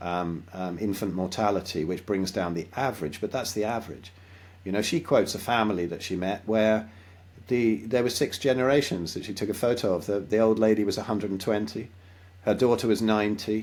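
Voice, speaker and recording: Fairly quick in pace, a man talks at a fairly low pitch. His pitch variation is ordinary. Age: 60s. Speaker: health and diet advocate, musician. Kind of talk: interview. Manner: hesitant, repeats words.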